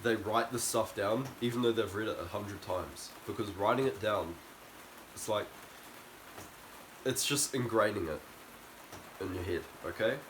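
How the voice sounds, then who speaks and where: Noticeable background noise sits behind a man speaking at medium pitch and a moderate pace, with ordinary pitch variation and long, frequent pauses. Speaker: self-improvement youtuber. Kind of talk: motivational talk to camera. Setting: outdoors in the rain. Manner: loud.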